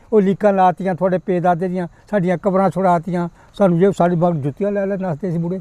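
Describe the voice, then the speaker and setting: A man's high-pitched voice with a dark, mellow tone and fairly even intonation, the sound dry and close without echo. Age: 80s+. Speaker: retired schoolteacher. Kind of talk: interview answer.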